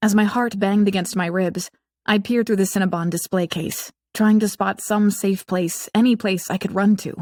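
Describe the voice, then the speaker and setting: A woman with a medium pitch speaks at a moderate pace, her voice somewhat breathy and her intonation fairly even. The sound is dry and close, with no echo. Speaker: audiobook narrator. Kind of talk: audiobook narration. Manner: wry, sarcastic.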